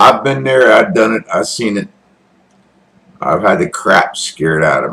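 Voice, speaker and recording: Moderate pacing from a man with an American accent. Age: 60s. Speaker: military veteran and online commentator. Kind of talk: casual political commentary monologue. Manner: animated.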